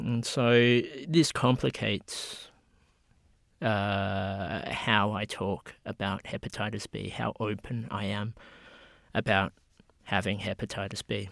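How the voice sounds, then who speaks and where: A man with an Australian accent speaks at a very slow pace, leaving long, frequent pauses in his fairly low voice. The recording is very clean, with a silent background and a dry, close sound with no echo. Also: ordinary pitch variation. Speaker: medical researcher. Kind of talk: interview.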